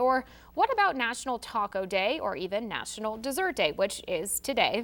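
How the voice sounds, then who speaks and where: A normal speaking voice from a woman, fairly high in pitch, at a moderate pace. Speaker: news anchor. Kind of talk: TV news anchor read.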